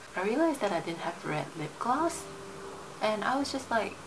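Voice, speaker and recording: A woman speaks at a moderate pace with very wide pitch swings. The recording has audible room echo and noticeable background noise. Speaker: beauty vlogger. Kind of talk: tutorial. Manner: whispering; casual, filler words.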